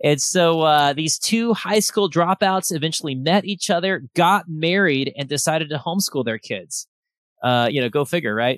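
Over a quiet background, a man with an American accent and an unremarkable speaking voice talks at a moderate pace, fairly high in pitch and lively in intonation. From Texas, Austin. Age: 30s. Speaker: podcast host and entrepreneur. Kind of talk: casual interview chat. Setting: video call.

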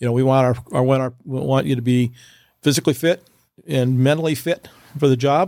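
A man with an American accent speaks at a fairly quick pace, breaking it up with long, frequent pauses. His medium-pitched voice has a dark, mellow tone and fairly even intonation. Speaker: fire chief. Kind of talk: casual interview chat.

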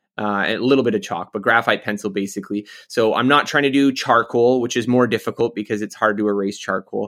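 Recorded very cleanly against a silent background, a man with a Canadian accent speaks at a very fast pace with hardly any pauses. His pitch is medium and his intonation fairly even. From Canada. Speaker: author. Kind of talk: interview.

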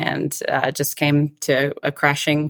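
A woman's very deep, low voice in a Southern US accent, at a very slow pace. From Atlanta, Georgia, US South. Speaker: country singer-songwriter. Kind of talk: interview.

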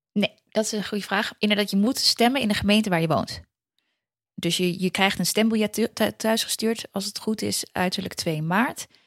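A woman with a plain, everyday voice speaks at medium pitch and a moderate pace with fairly even intonation, in a dry, close sound with no echo. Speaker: political commentator guest. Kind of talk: explainer in casual chat. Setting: remote call.

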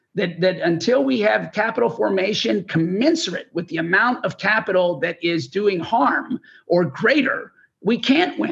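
A man's high-pitched voice with an American accent, moderate pace and very wide pitch swings. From Texas. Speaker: investor and new oil company board director. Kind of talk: recorded interview. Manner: halting, many fillers and repetitions.

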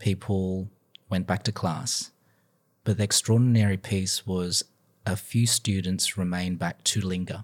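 Speaking at a fairly slow pace in an Australian accent, a man has a very deep, low pitch and fairly even intonation in a dry, close sound with no echo. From Sydney, Australia. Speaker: business professor and pastor. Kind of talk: testimony.

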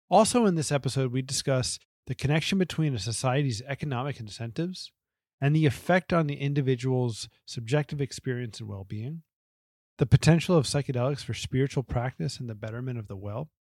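Speaking fast-ish with an American accent, a man has a medium pitch, ordinary pitch variation and a somewhat breathy voice, with big swings in loudness. The sound is dry and close with no echo, on a very clean recording with a silent background. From New Jersey, US. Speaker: podcast host. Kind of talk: scripted narration; interview conversation.

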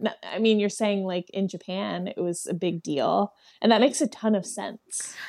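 An ordinary speaking voice from a woman, with ordinary pitch variation and a moderate pace. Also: medium pitch for a woman, dry, close sound with no echo. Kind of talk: casual chat.

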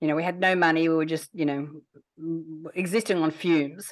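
Over a quiet background, a woman with an unremarkable speaking voice talks at a fairly low pitch with fairly even intonation. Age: 50s. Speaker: entrepreneur running a children's program. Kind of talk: interview.

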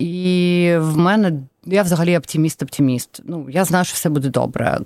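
A woman speaks at a moderate pace with a fairly low pitch. Her tone is dark and mellow. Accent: Russian. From Donetsk, eastern Ukraine. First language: Russian (speaking Ukrainian). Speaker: charity executive. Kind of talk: interview.

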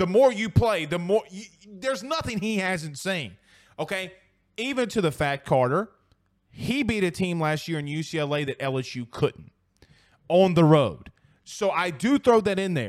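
Loud and animated, a man speaks at a high pitch and a moderate pace, his pitch swinging very widely. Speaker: sports podcast host. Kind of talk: casual sports talk show.

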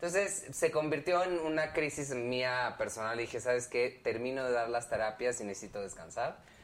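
A man with a plain, everyday voice talks at medium pitch and a moderate pace, with lively intonation and hardly any pauses. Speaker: pop band member. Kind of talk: casual chat.

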